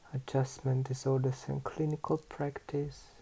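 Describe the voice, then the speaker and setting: Fairly slow and flat, a man talks in a monotone. His pitch is fairly high, and his dark, mellow voice is somewhat breathy. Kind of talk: ASMR book reading.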